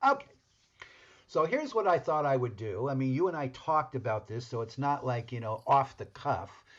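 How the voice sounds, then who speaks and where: A somewhat breathy man talks at a fairly quick pace with lively intonation. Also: medium pitch for a man. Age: 70s. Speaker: podcast co-host. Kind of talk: casual chat. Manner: halting.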